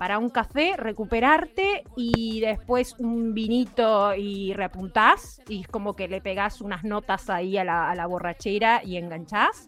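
Over noticeable background noise, a woman with a fairly high voice speaks fairly slowly, her intonation lively. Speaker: radio host. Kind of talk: casual chat.

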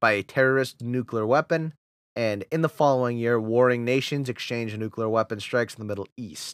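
In a strong New England accent, a man with a medium pitch speaks at a moderate pace, the dry, close sound free of echo in a very clean recording with a silent background. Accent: thick New England. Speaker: podcast host, auto parts worker. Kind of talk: casual chat, gaming podcast.

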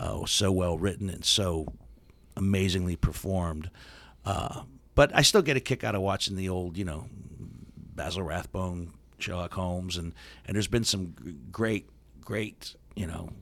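A man with an American accent and a very deep, low voice, ordinary pitch variation, a moderate pace and long, frequent pauses. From Steubenville, Ohio. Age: 60s. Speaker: radio host and comedian. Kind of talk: casual interview chat. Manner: humorous, joking.

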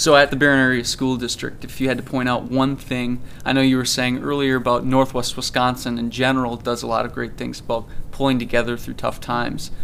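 Noticeable background noise under a man's monotone, flat voice at a medium pitch and a fairly quick pace. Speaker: podcast host. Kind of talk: interview.

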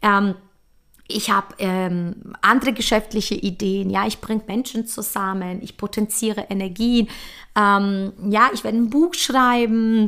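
A woman has an unremarkable speaking voice, fairly high in pitch, with fairly even intonation at a fairly slow pace. The recording is very clean, with a silent background. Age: 40s. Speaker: podcast host, coach. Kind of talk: motivational monologue. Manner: casual, chatty.

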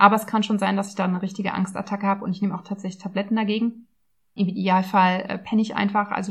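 A woman talks at a very fast pace, somewhat breathy. Her intonation stays flat and monotone. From Berlin, Germany. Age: 30s. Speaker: nutrition coach and podcast host. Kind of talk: casual personal monologue. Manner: chatty.

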